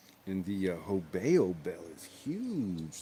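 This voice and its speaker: Soft-spoken, a man talks in a dark, mellow tone. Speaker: RC hobbyist livestreamer. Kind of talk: casual livestream chat while working on RC cars. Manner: soft-spoken, talks under his breath.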